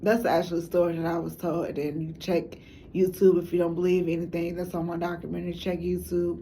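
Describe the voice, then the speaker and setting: Fairly quick and monotone, a woman with an American accent speaks in a fairly low pitch with flat intonation, and audible room echo around her. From Chicago. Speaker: documentary maker, substitute teacher. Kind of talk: documentary monologue. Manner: halting, many fillers.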